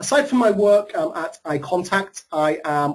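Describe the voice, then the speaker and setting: A man with a British accent at a fairly slow pace, ordinary pitch variation, and noticeable background noise. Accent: British accent, noticeable to US audience. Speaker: marketing strategist and author. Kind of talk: webinar presentation. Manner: hesitant, frequent filler ums.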